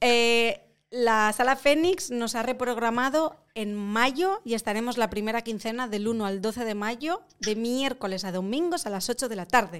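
A woman's ordinary speaking voice, fairly high in pitch with lively intonation, at a fairly slow pace on a very clean recording with a silent background. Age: 30s. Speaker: actress. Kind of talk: casual chat.

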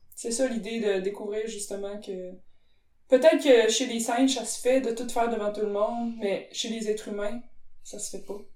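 A woman speaks at a moderate pace with a fairly high pitch and fairly even intonation. Her loudness swings a lot, and the room echo is audible. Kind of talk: casual chat.

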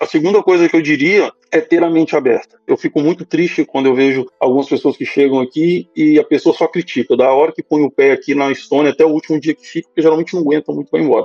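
Someone talks at a very fast pace with music in the background. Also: man, hardly any pauses. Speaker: finance professional living abroad. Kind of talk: casual chat.

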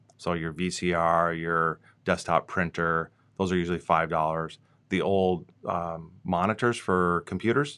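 With an Upper Midwest accent, a man speaks at a very deep, low pitch in a bright, sharp tone with fairly even intonation. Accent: Upper Midwest (Minnesota). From Minnesota. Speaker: regional planning director. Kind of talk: interview. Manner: hesitant with fillers.

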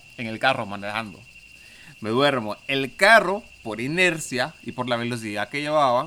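A man talks with lively intonation in a bright, sharp tone. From Honduras. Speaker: podcast guest. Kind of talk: casual chat.

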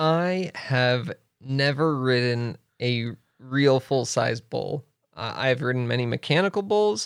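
A man with an American accent at a medium pitch, lively intonation and a very slow pace, on a very clean recording with a silent background. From Wyoming, US. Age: 30s. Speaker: author and leadership speaker. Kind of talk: casual interview. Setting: studio.

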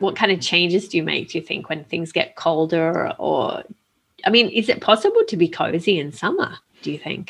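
Speaking at a fairly quick pace, a woman has an Australian accent. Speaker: podcast co-host. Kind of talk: casual chat.

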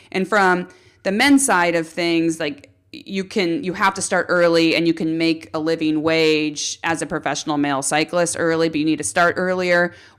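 On a very clean recording with a silent background, a woman with a Californian accent and a fairly low pitch speaks at a moderate pace with ordinary pitch variation. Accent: Californian American. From US, central coast of California. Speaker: pro cyclist. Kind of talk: casual chat.

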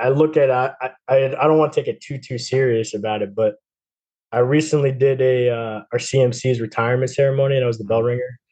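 Using an unremarkable speaking voice, a man with an American accent speaks at a medium pitch and fairly quick pace with fairly even intonation. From New Jersey. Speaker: navy sailor and coach. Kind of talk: casual interview.

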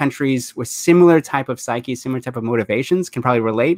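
Speaking very fast, a man has an American accent. His pitch is medium, with ordinary variation. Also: dry, close sound with no echo. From United States. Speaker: podcast host. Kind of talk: interview.

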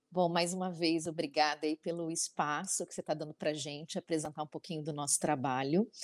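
A woman's ordinary speaking voice, fairly low in pitch and fairly quick in pace, dry and close with no echo. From Brazil. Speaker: travel designer. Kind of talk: online panel talk.

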